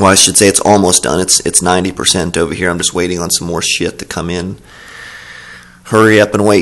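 A man talks at a very fast pace in a very deep, low pitch. His intonation is monotone and flat. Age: 30s. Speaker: tanker truck driver and fitness YouTuber. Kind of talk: casual talk to camera. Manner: casual, informal. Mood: relaxed, joking, profane. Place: gym. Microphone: phone near.

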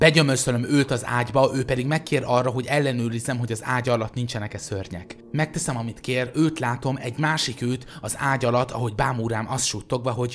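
A man at a fairly quick pace with hardly any pauses, medium pitch, a somewhat breathy voice, and ordinary pitch variation. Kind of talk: creepypasta reading aloud, ghost story telling.

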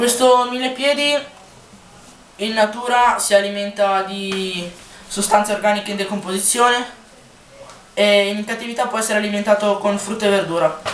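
A woman speaks at a medium pitch and a moderate pace, with long, frequent pauses and fairly even intonation. The recording has audible room echo and light background noise. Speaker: pet keeping youtuber. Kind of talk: tutorial. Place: home room. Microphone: low quality camera; phone near.

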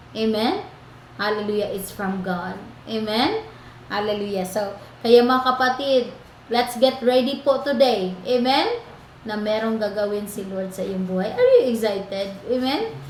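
Fairly slow speech from a woman at a fairly high pitch, ordinary pitch variation and noticeable background noise. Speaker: online prayer program host. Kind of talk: fervent prayer and preaching. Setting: online prayer program.

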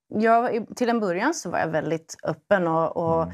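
A woman's pitch swings very widely. The background is quiet. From Sweden. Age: 30s. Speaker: primary school teacher. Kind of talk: testimony. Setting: studio. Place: studio. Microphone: lapel.

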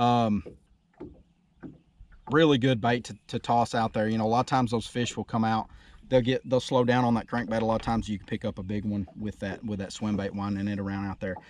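A man talks at a fairly quick pace in a slightly mellow tone, with little pitch movement. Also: fairly low pitch for a man.

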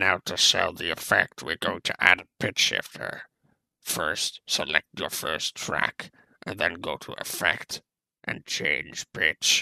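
A man's put-on character voice, raspy and very deep in pitch, at a fairly slow pace. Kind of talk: tutorial narration in an imitated character voice.

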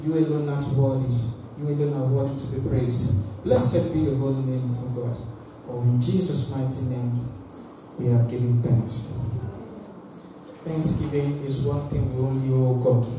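A man speaks at a moderate pace with monotone, flat intonation and long, frequent pauses. Strong room echo and noticeable background noise are present. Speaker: preacher. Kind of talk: sermon. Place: church.

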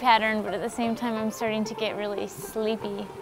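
Clear music sits behind a woman whose voice sounds dry with no echo. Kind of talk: casual documentary diary chat.

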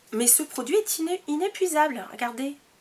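The speaker is a woman. Her intonation is lively. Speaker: beauty vlogger. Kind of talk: product review monologue. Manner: hesitant, many fillers.

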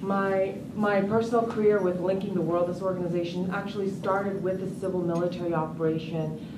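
A woman talks at a fairly quick pace. Noticeable background noise is audible. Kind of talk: conference speech. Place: hall.

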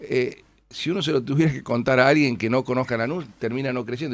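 Very fast speech from a man, his pitch varying in an ordinary way. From Argentina. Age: 50s. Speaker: city finance minister and politician; city finance minister, politician. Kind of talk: radio interview. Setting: radio studio. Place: studio.

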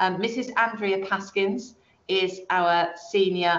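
A woman with a British accent, fairly even intonation, and audible room echo. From England. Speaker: head teacher. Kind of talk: webinar Q&A presentation. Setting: online webinar. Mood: warm, welcoming. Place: office. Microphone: webcam.

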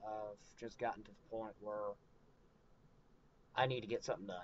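The audio is dry, lacking any echo. A man speaks at a moderate speed. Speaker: vlogger. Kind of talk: casual update vlog. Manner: hesitant, many fillers. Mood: somewhat frustrated. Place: home room. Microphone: webcam.

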